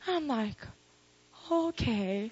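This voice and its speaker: An animated woman's voice, fairly high in pitch, with a Korean accent. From South Korea. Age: 20s. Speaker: pastor. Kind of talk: sermon. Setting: live audience at worship service.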